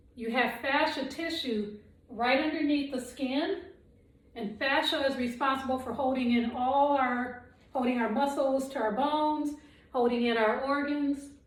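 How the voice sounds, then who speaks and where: Audible room echo around a woman's high voice. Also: fairly even intonation, fairly slow pace. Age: 60s. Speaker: qigong instructor. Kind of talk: guided exercise instruction. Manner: calm, measured.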